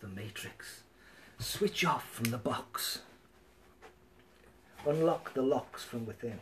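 Ordinary rise and fall in pitch, in a somewhat breathy voice. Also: man. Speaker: live streamer. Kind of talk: casual live stream chat. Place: home room. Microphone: webcam.

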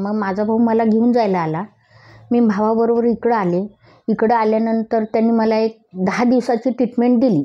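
In quiet surroundings, a woman talks with fairly even intonation. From Maharashtra, Pune; Maharashtra. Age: 60s. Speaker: physiotherapy patient. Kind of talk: testimonial. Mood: grateful, heartfelt. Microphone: lapel.

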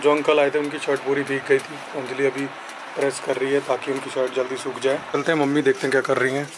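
Clear background noise runs behind a man talking at a fast pace. His medium-pitched voice shows little pitch movement.

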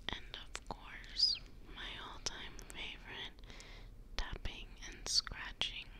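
Very slow whispering from a woman, broken by long, frequent pauses. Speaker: ASMR content creator. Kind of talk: ASMR video, soft spoken talk to camera. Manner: soft-spoken, soothing.

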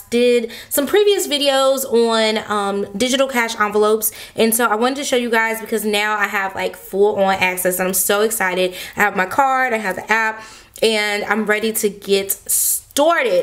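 This woman speaks at a moderate pace with ordinary pitch variation. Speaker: budgeting channel host. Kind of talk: casual tutorial chat. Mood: excited, upbeat.

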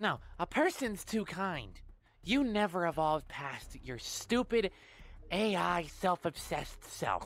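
A female-sounding cartoonish character voice at middle pitch and a fairly slow pace, in a very clean recording with a silent background. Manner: indignant, angry, shouting.

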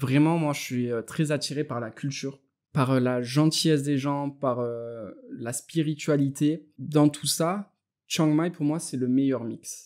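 A man at a fairly high pitch and a very slow pace, with fairly even intonation. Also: very clean recording, silent background. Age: 30s. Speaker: web entrepreneur. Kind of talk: interview.

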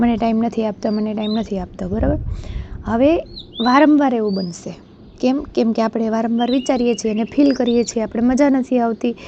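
A woman with a fairly high pitch talks amid noticeable background noise. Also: fairly even intonation. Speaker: motivational YouTuber. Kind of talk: motivational talk.

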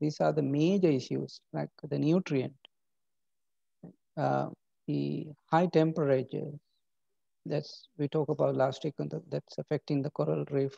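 Against a quiet background, a man talks at a moderate pace with long, frequent pauses, the sound dry with no echo. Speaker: university lecturer. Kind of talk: lecture. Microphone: webcam.

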